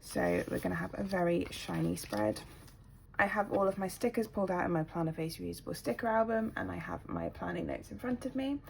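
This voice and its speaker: The speaker is a woman with a British accent. She talks at a fairly quick pace. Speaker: planner YouTuber. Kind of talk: casual tutorial-style chat. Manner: hesitant with many ums.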